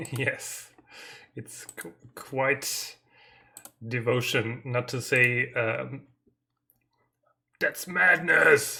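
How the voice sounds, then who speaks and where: Spoken in a German accent, the speech goes at a very slow pace. Long, frequent pauses break it up. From Germany. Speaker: indie game developer streaming. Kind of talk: live stream dev chat. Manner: halting, hesitant.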